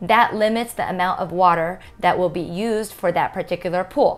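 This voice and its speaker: A woman talks at a moderate pace. Her pitch variation is ordinary. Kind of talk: informational explainer. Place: office. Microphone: lapel.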